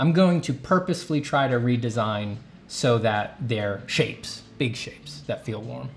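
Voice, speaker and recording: A man with an American accent, medium pitch, moderate pace, somewhat breathy and lively in intonation. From New York. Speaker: artist and art teacher. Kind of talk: live stream paint-over tutorial. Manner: casual, thinking aloud.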